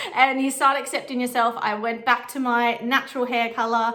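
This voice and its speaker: A woman projects her voice loudly in a strong Australian accent. Her high-pitched voice has a bright, sharp tone. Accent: broad Australian. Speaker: vintage stylist and photographer. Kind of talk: casual chat. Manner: casual, rambling.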